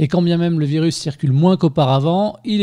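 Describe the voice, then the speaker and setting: Against a quiet background, a man with a high pitch and a dark, mellow tone speaks at a fairly quick pace with ordinary pitch variation. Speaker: podcast host, interviewer. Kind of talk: podcast intro narration.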